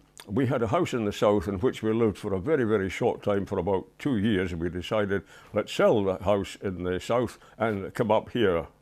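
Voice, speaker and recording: With a Scottish accent, a man speaks fairly quickly in a fairly low voice, his pitch varying in an ordinary way. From Edinburgh, Scotland. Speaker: war veteran, retired loss adjuster. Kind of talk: interview answer. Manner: hesitant, reflective.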